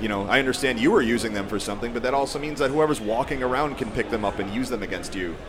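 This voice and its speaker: Against noticeable background noise and audible room echo, a man with an American accent talks at a very fast pace. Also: medium pitch for a man, ordinary pitch variation, hardly any pauses. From Colorado. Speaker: information security professional. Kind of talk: casual chat.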